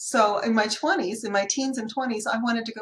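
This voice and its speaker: A woman's fairly high voice with an American accent, an ordinary speaking voice, at a fairly quick pace with ordinary pitch variation. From US Pacific Northwest (Seattle), high school in Kentucky. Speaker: accountant running a bookkeeping business. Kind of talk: casual chat.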